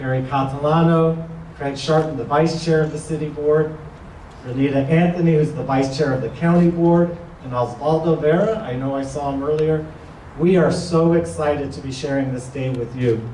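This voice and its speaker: Both noticeable background noise and audible room echo can be heard. The delivery keeps a moderate pace. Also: man, fairly high pitch for a man, fairly even intonation. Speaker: housing authority official. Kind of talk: ceremony speech. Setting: grand opening event with audience.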